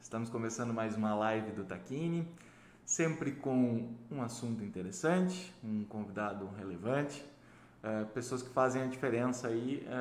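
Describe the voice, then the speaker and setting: This man's voice sits at a medium pitch with lively intonation, and audible room echo surrounds it. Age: 30s. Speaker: livestream host. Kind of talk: interview. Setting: livestream. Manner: halting, repeats words.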